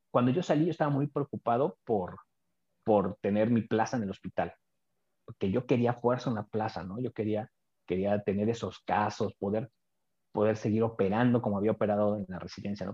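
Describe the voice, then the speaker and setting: In a Mexico City accent, a man talks at a fairly quick pace and a fairly low pitch with ordinary pitch variation. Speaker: oral and maxillofacial surgeon. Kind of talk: interview.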